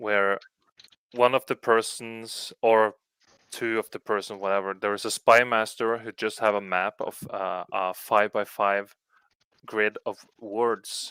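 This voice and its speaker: With a Norwegian accent, the voice is bright and sharp in tone, with big swings in loudness, monotone, flat intonation, a fairly slow pace and long, frequent pauses. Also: man, dry, close sound with no echo, very clean recording, silent background. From Norway. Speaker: video podcast host. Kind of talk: casual chat.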